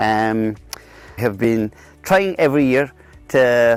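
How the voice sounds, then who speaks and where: Over music in the background, a man with a Kerry accent talks at medium pitch with ordinary pitch variation. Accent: Irish, Kerry. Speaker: dairy farmer. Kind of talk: interview answer. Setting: outdoors. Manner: hesitant, repeats words.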